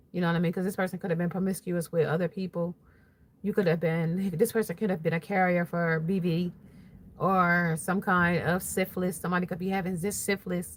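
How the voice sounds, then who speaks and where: Her pace is fairly quick, and her voice is somewhat breathy. The woman's intonation stays monotone and flat. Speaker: tarot reader. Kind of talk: tarot reading livestream. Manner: casual, rambling with fillers.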